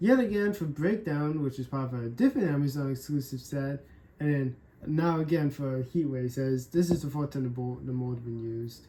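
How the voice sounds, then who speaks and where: A woman speaks at a moderate pace with ordinary pitch variation. Her pitch is very deep and low. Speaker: toy unboxing youtuber. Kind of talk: casual unboxing commentary. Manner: loud.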